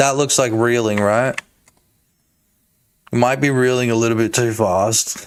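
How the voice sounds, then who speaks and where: Delivered at a fairly slow pace with long, frequent pauses, the speech keeps a very even loudness. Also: man, medium pitch for a man. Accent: Australian. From Australia. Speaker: game developer streamer. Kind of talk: live stream commentary. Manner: animated.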